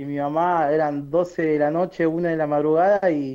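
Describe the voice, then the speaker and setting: Here is a man with a normal speaking voice. His pitch is fairly high and his intonation fairly even. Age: 30s. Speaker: journalist. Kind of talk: interview.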